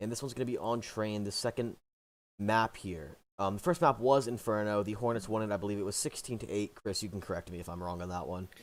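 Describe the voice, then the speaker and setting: A man speaks at a very fast pace, his fairly low pitch showing ordinary variation. The recording is very clean, with a silent background. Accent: American. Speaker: esports caster. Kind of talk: live commentary.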